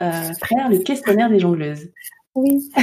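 A woman speaks at medium pitch with a dark, mellow tone. Her voice is somewhat breathy and her intonation lively. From Côte d'Ivoire and Île-de-France. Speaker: podcast host. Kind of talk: interview conversation.

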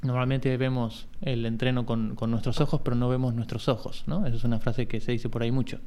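At a fairly quick pace, a man talks at a medium pitch with fairly even intonation. Audible room echo surrounds his voice. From Argentina, Buenos Aires. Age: 40s. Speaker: sports coach. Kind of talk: casual chat. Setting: remote video call.

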